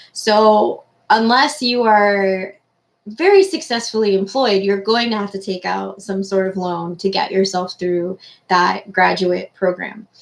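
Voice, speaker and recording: A woman speaks at a fairly slow pace in an unremarkable speaking voice. Her pitch sits in the middle range, with ordinary variation. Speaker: university careers advisor. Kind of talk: online class talk.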